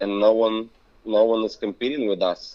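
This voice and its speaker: A man with a non-native accent, a fairly low pitch, and a moderate pace. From Belarus. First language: not English. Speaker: business owner. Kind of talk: interview conversation. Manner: halting.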